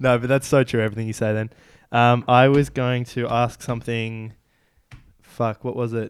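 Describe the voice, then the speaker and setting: A man speaks with an Australian accent. His pitch is medium and his intonation monotone and flat. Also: moderate pace. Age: 20s. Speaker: podcast host. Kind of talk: casual interview.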